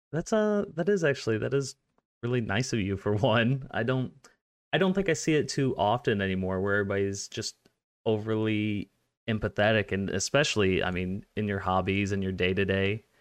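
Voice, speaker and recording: Over a quiet background, a man with an ordinary speaking voice and an American accent talks at a fairly low pitch and fairly quick pace with ordinary pitch variation. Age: 20s. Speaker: podcast host. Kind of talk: casual interview chat.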